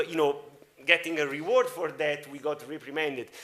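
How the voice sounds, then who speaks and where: With an Italian accent, a man speaks at a fairly high pitch in a bright, sharp tone, using a moderate pace and ordinary pitch variation. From Italy. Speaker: media entrepreneur and panel moderator. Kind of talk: panel discussion. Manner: halting, many fillers.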